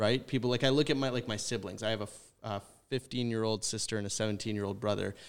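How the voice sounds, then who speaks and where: Recorded very cleanly against a silent background, a man with a Canadian accent and an unremarkable speaking voice talks at a fairly low pitch with ordinary pitch variation. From British Columbia, Canada. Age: 20s. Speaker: university student. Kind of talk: casual chat. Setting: studio.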